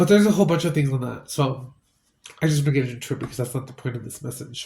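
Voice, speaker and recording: A man's raspy put-on character voice at a medium pitch, very fast in pace, with big swings in loudness. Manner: casual, relaxed.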